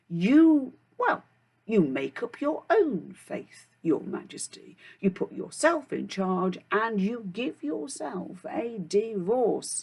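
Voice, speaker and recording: Someone uses a put-on character voice and speaks at a very slow pace. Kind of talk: children's storytelling. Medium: read story.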